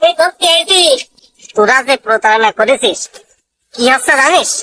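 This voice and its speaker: In a cartoonish character voice, a woman speaks at a high pitch with very wide pitch swings, very even loudness and a moderate pace. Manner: gruff, scolding.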